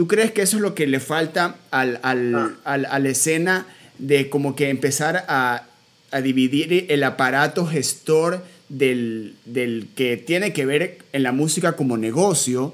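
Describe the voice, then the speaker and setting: At a very slow pace, a man speaks with very even loudness. His pitch is fairly high. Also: ordinary pitch variation. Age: 30s. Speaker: podcast host and musician. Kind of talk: interview conversation.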